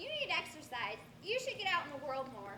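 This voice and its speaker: Over clear background noise, a woman talks quickly in a squeaky, high-pitched, put-on character voice. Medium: stage play. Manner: bossy, fussy, lecturing.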